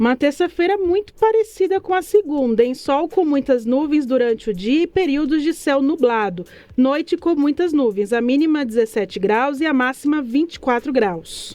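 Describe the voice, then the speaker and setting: With hardly any pauses, a woman talks at a moderate pace in a high, dark, mellow voice that makes very wide pitch swings while its loudness stays very even. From Brazil, Salvador, Bahia. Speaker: radio news presenter. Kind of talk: weather report.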